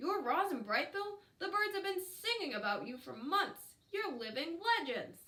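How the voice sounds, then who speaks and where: A woman in a put-on character voice sounds squeaky at an extremely high pitch, with hardly any pauses. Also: moderate pace. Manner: excited.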